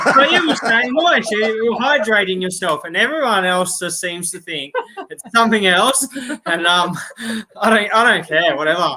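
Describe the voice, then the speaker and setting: In an Australian accent, a man with a high voice projects loudly at a moderate pace over noticeable background noise. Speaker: outdoors YouTuber, live chat host. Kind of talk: casual live-stream chat.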